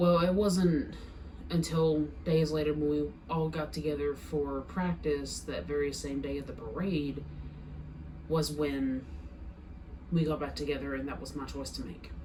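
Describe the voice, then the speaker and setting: A woman speaks at a fairly slow pace with long, frequent pauses. Audible room echo and noticeable background noise fill the recording. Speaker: vlogger sharing personal experience. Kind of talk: personal testimony. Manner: stuttering, halting.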